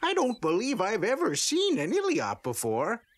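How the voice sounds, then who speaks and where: A man does a cartoonish character voice at an extremely high pitch. Its pitch swings very widely, and the pace is moderate. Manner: chuckling, hesitant, genial.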